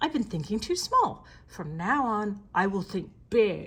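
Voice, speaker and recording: A woman uses a put-on character voice at a medium pitch. She speaks at a fairly slow pace. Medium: read story.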